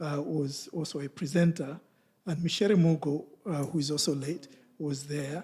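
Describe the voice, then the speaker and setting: A man's fairly high-pitched, somewhat breathy voice, dark and mellow in tone, with fairly even intonation at a moderate pace. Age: 70s. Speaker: professor. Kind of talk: conference talk, personal reflection. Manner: hesitant, many fillers.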